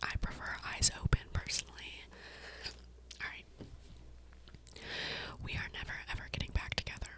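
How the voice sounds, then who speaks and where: Whispering at a fairly quick pace, the speaker takes long, frequent pauses over noticeable background noise. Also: woman. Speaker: ASMR creator. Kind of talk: casual ASMR talk to camera. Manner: whispered.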